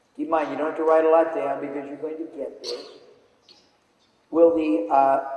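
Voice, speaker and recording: A man's fairly high, monotone, flat voice at a moderate pace, with big swings in loudness, long, frequent pauses and audible room echo. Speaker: business speaker. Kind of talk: seminar lecture.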